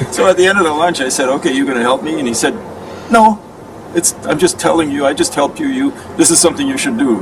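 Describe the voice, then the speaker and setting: Over noticeable background noise, a man speaks very fast at a fairly high pitch, his voice swinging very widely in pitch. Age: 70s. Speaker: aikido teacher and peace activist. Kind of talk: interview. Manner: halting.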